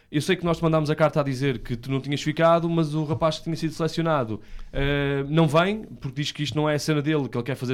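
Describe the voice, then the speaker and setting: Very fast speech from a man with a fairly high pitch and fairly even intonation, on a very clean recording with a silent background. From northern Portugal, Vila Nova de Gaia. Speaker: radio host. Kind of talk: casual chat.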